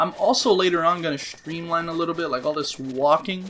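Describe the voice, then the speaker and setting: This man speaks in an animated tone at a fairly high pitch. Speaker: gaming let's play youtuber. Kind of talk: gameplay commentary. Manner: fast.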